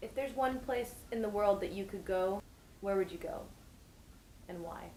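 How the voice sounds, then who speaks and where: Her voice dark and mellow, a woman speaks at a moderate pace and medium pitch with ordinary pitch variation and big swings in loudness. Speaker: interviewer. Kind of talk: interview questions.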